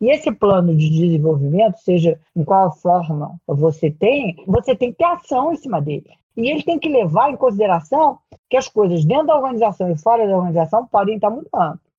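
A somewhat breathy woman's voice moves through very wide pitch swings. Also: medium pitch for a woman. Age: 70s. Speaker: career transition consultant and executive coach. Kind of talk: interview.

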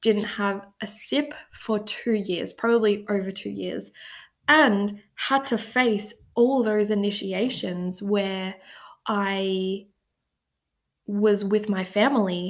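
In an Australian accent, a woman speaks very slowly at a medium pitch with fairly even intonation on a very clean recording with a silent background. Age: 20s. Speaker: podcast host. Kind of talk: personal storytelling monologue. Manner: casual, filler-heavy.

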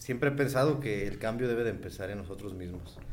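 Audible room echo surrounds a man's voice. He speaks at medium pitch with ordinary pitch variation. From Mexico. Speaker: podcast guest. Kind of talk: casual chat.

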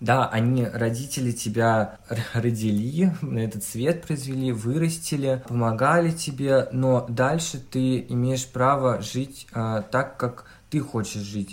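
Speaking very slowly, a man uses a medium pitch with ordinary variation. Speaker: hairdressing student and blogger. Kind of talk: casual chat. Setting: video call.

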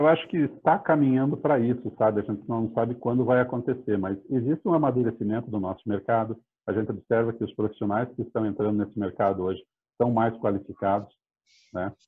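At a fairly quick pace, a man with a plain, everyday voice speaks in a medium pitch with ordinary pitch variation. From Curitiba, Brazil. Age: 50s. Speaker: real estate startup CEO. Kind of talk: interview.

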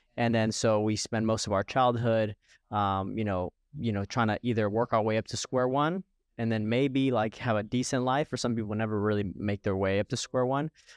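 In a dry, close sound with no echo and a quiet background, a man with an unremarkable speaking voice talks at medium pitch and a fairly quick pace with fairly even intonation. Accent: American. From Florida. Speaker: podcast host, coach. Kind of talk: scripted intro; interview, casual chat.

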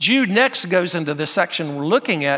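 A man with a Southern US accent, high-pitched, bright and sharp in tone, at a moderate pace, in a very clean recording with a silent background. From US South, North Carolina. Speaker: pastor. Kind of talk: sermon. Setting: church.

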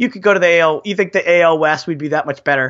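A man speaks with vocal fry. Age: middle-aged. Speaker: sports podcast co-host. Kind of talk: casual chat.

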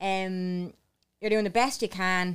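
At a moderate pace, a woman with an Irish accent and a medium pitch speaks in a very clean recording with a silent background. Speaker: podcast co-host. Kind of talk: casual chat.

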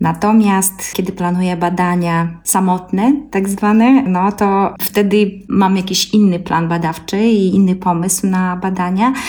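Against noticeable background noise, a woman talks very slowly with hardly any pauses. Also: medium pitch for a woman, fairly even intonation. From Belarus, Gomel Polesia. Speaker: ethnomusicologist and singer. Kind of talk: interview.

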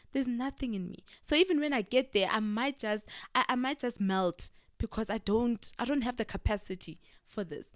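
In a very clean recording with a silent background, a woman with a fairly high pitch speaks at a moderate pace, animated and with lively intonation. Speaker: podcast co-host. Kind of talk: casual chat.

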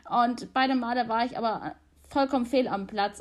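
A woman's high voice moves along at a moderate speed. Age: 20s. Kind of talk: interview.

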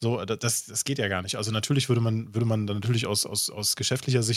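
A man talks very fast at a medium pitch with fairly even intonation. The recording is very clean, with a silent background. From rural Germany. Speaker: streamer and podcast host. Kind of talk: casual chat.

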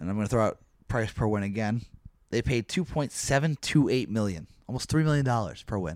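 An unremarkable speaking voice from a man, medium in pitch, fairly quick and lively in intonation. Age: 20s. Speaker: baseball podcast host. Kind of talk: casual chat.

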